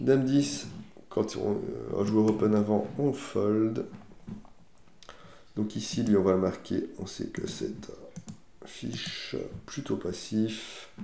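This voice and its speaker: A man speaks at a very slow pace, leaving long, frequent pauses, with audible room echo. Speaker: poker player. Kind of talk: live commentary. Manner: halting.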